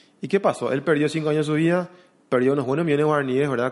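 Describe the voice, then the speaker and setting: A man talks with ordinary pitch variation. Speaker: investment consultant. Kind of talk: interview. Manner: halting, many repetitions and fillers.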